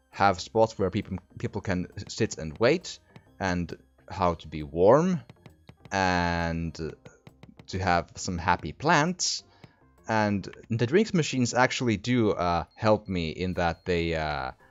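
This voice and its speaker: Music plays behind a man who speaks very slowly in a very deep, low voice, with lively intonation and long, frequent pauses. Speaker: gaming commentator. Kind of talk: casual let's play commentary.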